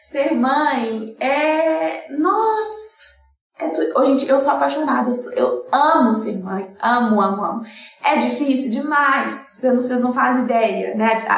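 In a room with audible echo and noticeable background noise, a woman with a high pitch speaks at a very slow pace, her pitch swinging very widely. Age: 20s. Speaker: young mother and advertising graduate, COVID survivor. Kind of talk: testimony in casual live-stream chat.

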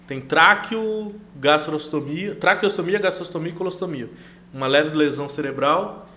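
With audible room echo around him, a man talks while his pitch varies in an ordinary way. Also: fairly high pitch for a man, fairly slow pace. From Brazil, Rondônia (interior, São Felipe do Oeste). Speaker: chef and air force serviceman. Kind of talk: casual interview.

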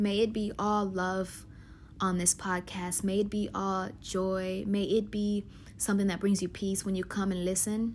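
Her voice is somewhat breathy and medium in pitch. The woman speaks fairly slowly with monotone, flat intonation. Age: 20s. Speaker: podcast host. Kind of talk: casual monologue.

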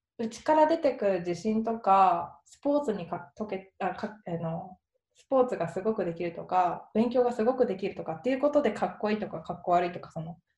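A woman's medium-pitched, somewhat breathy voice, dark and mellow in tone, fairly quick, with lively intonation. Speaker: graphic designer and potter. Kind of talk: casual interview.

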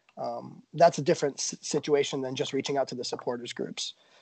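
The man has a normal speaking voice with an American accent, a fairly high pitch and fairly even intonation. He talks at a fairly quick pace, and the sound is dry and close with no echo. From US. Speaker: supporters' club member, barber. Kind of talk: interview.

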